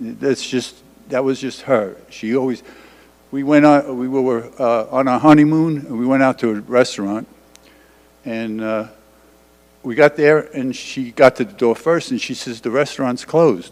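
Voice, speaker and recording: Speaking with a New York accent, a man at medium pitch keeps a moderate pace and fairly even intonation but shows big swings in loudness. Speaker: widower sharing memories. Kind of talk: memorial testimony. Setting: church memorial service with audience. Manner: halting, stumbling.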